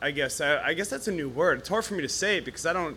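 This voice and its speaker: This man's intonation is lively. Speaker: audience member asking a question. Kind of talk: live Q&A question. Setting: stage with audience. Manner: halting.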